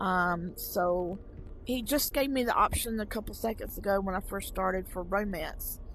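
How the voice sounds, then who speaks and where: Audible room echo surrounds a woman speaking with a Southern US accent. Her medium-pitched voice moves at a moderate pace with ordinary pitch variation. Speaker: VR gaming YouTuber. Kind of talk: casual gameplay commentary. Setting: VR headset gameplay recording. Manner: casual with frequent fillers.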